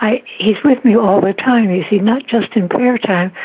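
Noticeable background noise runs behind a woman talking at a moderate pace. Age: 90s. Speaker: author of spiritual meditations. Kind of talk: interview about faith.

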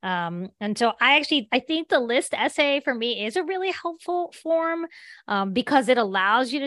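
Her voice high-pitched and her intonation lively, a woman with an American accent speaks in a dry, close sound with no echo. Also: quiet background. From southern West Virginia. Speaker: author and teacher. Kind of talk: interview.

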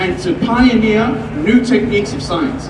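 A man with a high-pitched voice speaks over noticeable background noise. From North Lebanon. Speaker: rally speaker and student activist. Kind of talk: fiery rally speech to a crowd, mixing history lecture with political rhetoric. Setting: outdoor protest rally, live crowd. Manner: impassioned; emphatic, declamatory, repeating phrases for effect.

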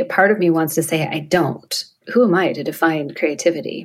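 A woman speaks at a fairly slow pace. Her pitch is fairly low, in a plain, everyday voice. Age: 50s. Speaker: photographer and coach. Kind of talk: casual chat.

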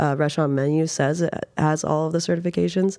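Speaking with an American accent, a woman uses a fairly low pitch, a dark, mellow tone and fairly even intonation. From Reno, Nevada, US. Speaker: bar owner and bartender. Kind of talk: interview conversation.

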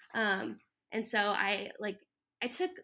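On a very clean recording with a silent background, a woman with a medium pitch and a bright, sharp tone speaks with fairly even intonation. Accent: American. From Florida. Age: 20s. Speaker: florist and landscaper. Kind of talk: casual interview. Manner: halting, many fillers.

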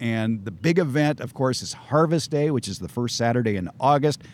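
An ordinary speaking voice, a man with an American accent and lively intonation. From Southern California. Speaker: gardening expert and radio host. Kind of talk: interview chat. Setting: outdoors at garden center. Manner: wry, humorous.

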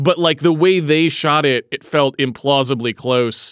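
A plain, everyday voice talks at a moderate pace with ordinary pitch variation. The recording is very clean, silent in the background, and dry and close with no echo. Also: man. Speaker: podcast host. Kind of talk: casual chat. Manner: joking, playful.

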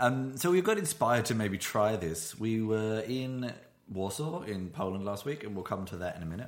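A man with a British accent talks at a moderate pace, his fairly low voice carrying lively intonation. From Britain. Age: 30s. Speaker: podcast host. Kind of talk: casual chat. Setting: studio, shared single microphone. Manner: halting.

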